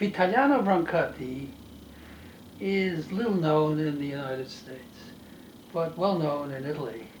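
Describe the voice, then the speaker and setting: A man speaks with lively intonation at a fairly high pitch, leaving long, frequent pauses. Noticeable background noise and audible room echo are present. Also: moderate pace, big swings in loudness. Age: 80s+. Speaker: retired professor of neurology and translator. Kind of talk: interview monologue. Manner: halting.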